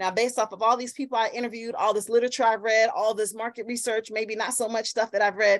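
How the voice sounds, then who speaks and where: Against a quiet background, a woman speaks with a fairly high pitch. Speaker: workshop facilitator. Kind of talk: online workshop lecture. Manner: fast when excited; animated, interactive. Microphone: video call.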